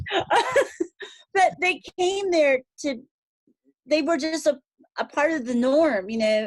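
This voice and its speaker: This woman's voice sits high and moves with lively intonation. She leaves long, frequent pauses. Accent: American. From San Fernando Valley, California. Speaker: fashion designer and voiceover artist. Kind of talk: interview answer.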